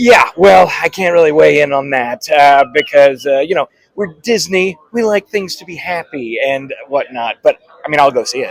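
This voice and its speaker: A man with an unremarkable speaking voice and a fairly high pitch talks at a moderate pace, with lively intonation and big swings in loudness. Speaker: voice actor and filmmaker. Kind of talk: interview answer. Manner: casual, upbeat.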